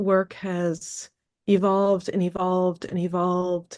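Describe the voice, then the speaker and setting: The woman has a fairly low pitch. She talks with an American accent. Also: quiet background. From upstate New York. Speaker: movement and wellness coach. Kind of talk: interview conversation.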